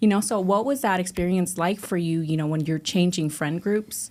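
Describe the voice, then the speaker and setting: Speaking at a fairly quick pace, a woman with a plain, everyday voice and a fairly low pitch uses lively intonation in a very clean recording with a silent background. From immigrant, came to US at ten. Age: 30s. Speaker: podcast host. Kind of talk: casual interview chat.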